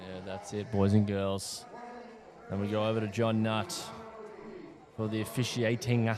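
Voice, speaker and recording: A man with an Australian accent, fairly low in pitch and fairly even in intonation, with long, frequent pauses and audible room echo. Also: moderate pace. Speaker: fight commentator and announcer. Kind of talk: live commentary.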